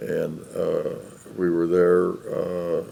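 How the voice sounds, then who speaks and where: This man talks with a Chicago accent. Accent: Chicago American English. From US Midwest, Chicago. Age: 90s. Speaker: war veteran. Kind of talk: oral history interview. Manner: halting, many fillers.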